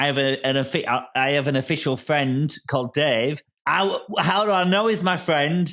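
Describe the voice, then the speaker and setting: At a moderate pace, a man speaks with a bright, sharp, animated tone, a fairly high pitch, ordinary pitch variation and very even loudness. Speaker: comedian. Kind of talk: casual chat.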